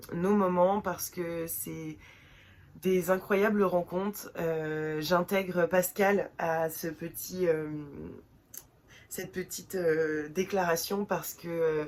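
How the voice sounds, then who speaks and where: A woman's fairly low voice at a very slow pace, with long, frequent pauses and monotone, flat intonation. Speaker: book vlogger. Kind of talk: casual vlog talk. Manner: hesitant, many fillers.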